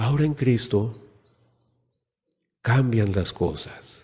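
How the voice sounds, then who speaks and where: A man's voice carries a dark, mellow tone at medium pitch. There is a somewhat breathy quality to it. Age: 60s. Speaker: preacher. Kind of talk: sermon.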